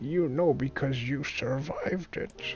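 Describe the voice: Someone performs a put-on character voice at a low-to-middle pitch and moderate pace, with clear background noise.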